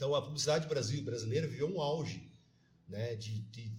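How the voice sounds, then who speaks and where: A man talks at a moderate pace with ordinary pitch variation and a somewhat breathy sound. Audible room echo surrounds his voice. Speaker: teacher and city councillor. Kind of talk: podcast interview.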